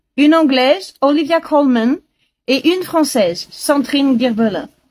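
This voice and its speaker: Very slow pace from a woman with a high pitch and lively intonation. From France (Paris). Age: 70s. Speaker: language learning speaker. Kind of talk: listening comprehension monologue. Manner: slow, clear.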